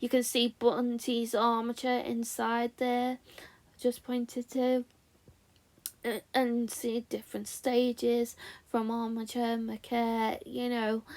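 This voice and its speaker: Her voice is high-pitched and flat, a monotone delivered at a very slow pace. The woman's recording is very clean, with a silent background. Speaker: stop-motion animation fan and reviewer. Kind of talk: book review voiceover. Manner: awkward, repetitive.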